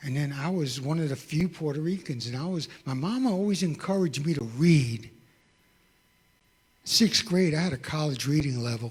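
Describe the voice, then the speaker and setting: A man talks at a moderate pace in a fairly high, somewhat breathy voice. His intonation is lively. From New York. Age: 60s. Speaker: testimony speaker. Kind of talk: testimony.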